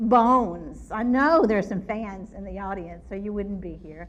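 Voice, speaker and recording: A woman with a North Louisiana accent at a fairly slow pace and fairly high pitch, amid noticeable background noise and audible room echo. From North Louisiana (Shreveport area). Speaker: forensic anthropologist. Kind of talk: public lecture. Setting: ballroom with live audience. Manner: animated.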